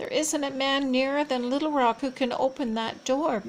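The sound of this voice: In a put-on character voice, a woman speaks at a moderate pace with a shaky, high pitch and fairly even intonation, with clear background noise behind her.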